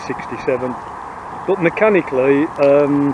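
The speech moves at a moderate pace with ordinary pitch variation. The sound is dry with no echo, and background noise is noticeable. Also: man. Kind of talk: interview answer. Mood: relaxed, proud. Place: open country. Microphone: phone near.

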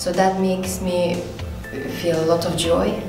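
Over clear music in the background, a woman talks with audible room echo. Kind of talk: interview answer. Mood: warm and friendly. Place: empty room.

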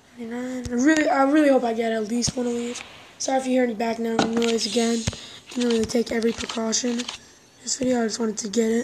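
A woman talks at a very fast pace. Noticeable background noise runs throughout. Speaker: mobile gaming channel host. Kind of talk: casual gameplay commentary. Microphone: phone near.

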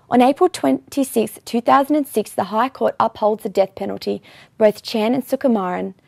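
The background is quiet. A woman is heard with a dry sound and no echo. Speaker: news presenter. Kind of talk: news report reading. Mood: serious, neutral. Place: studio. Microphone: lapel.

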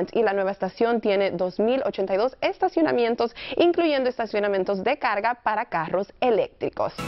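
A woman's lively intonation at a moderate pace with hardly any pauses, faint music in the background. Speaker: TV reporter and presenter. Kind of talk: TV weather and traffic report. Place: studio.

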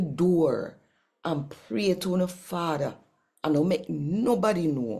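A woman's very slow, fairly low-pitched voice, dark and mellow in tone, with very wide pitch swings against a quiet background. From Jamaica. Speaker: Bible reader and worship leader; Bible reader. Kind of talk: channel intro; scripture reading in Jamaican Patois. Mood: warm, animated. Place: home room. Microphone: phone near.

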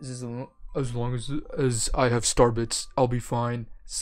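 The speaker reads in an unforced voice.

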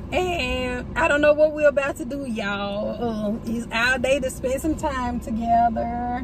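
Noticeable background noise sits under a woman's voice, which has ordinary pitch variation and a dry sound with no echo. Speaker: vlogger. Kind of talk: casual vlog chat. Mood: cheerful, relaxed. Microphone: phone near.

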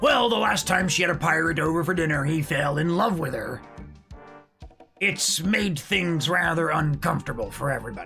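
Faint music plays in the background as a man speaks at a moderate pace. He uses a raspy, put-on character voice pitched fairly high. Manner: chatty, mocking.

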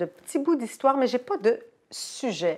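Intonation is lively as a woman speaks at a moderate pace. Behind her, the background stays quiet. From Poland. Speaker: author and translator. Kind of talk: interview. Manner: hesitant, many fillers. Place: home room.

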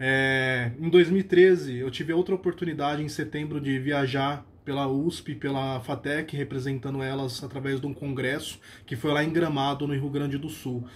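A man talks at a moderate pace with hardly any pauses, in a fairly high, somewhat breathy voice. His intonation is fairly even, over light background noise. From Brazil, São Paulo. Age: 30s. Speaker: religious lay lecturer and university employee. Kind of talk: personal religious testimony, a grateful first-person faith story. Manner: earnest and warm, with frequent hesitation fillers (é, eh); steady, reflective storytelling pace. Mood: grateful, earnest. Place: home room. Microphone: phone near.

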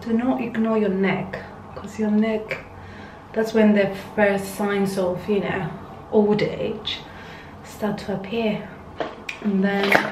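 Over noticeable background noise, a woman speaks very slowly in a monotone, flat way, with long, frequent pauses. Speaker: beauty vlogger. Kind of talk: casual skincare tutorial chat. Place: home room. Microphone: phone near.

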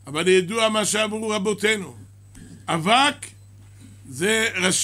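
Raised and projected, a man's bright, sharp voice moves at a very slow pace. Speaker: rabbi teaching a class. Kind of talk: sermon. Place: church. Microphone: podium.

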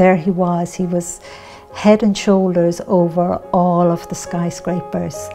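With faint music in the background, a woman speaks in an Irish accent at a fairly low pitch. Her pace is fairly slow and her intonation fairly even. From Ireland. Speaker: spiritual teacher and author. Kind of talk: personal testimony to camera. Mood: calm, gentle, earnest. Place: home room.

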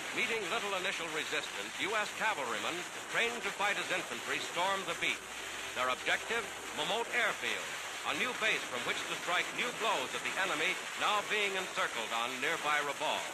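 Amid noticeable background noise, a man with a high pitch speaks at a fairly quick pace. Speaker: newsreel narrator. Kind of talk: newsreel narration.

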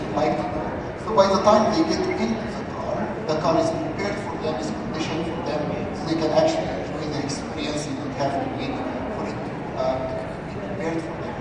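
Over loud background noise and audible room echo, a man speaks at a fairly quick pace with ordinary pitch variation. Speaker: presenter. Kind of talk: stage interview presentation. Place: stage.

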